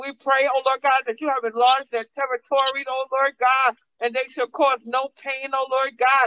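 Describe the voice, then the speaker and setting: The tone is animated. Speech moves at a moderate pace with hardly any pauses. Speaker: preacher. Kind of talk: sermon. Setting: church. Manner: animated, call-and-response preaching with congregation. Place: church. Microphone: podium.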